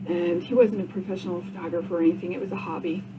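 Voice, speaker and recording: Noticeable background noise and audible room echo around a woman's medium-pitched voice at a moderate pace. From Vermont, Rutland. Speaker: podcaster, cancer survivor. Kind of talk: casual monologue podcast. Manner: halting, many fillers.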